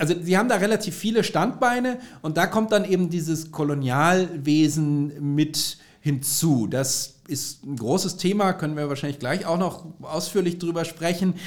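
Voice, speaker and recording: A man speaks at a moderate pace in a high pitch. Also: ordinary pitch variation. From Bavaria, southern Germany. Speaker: history lecturer. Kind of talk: expert interview.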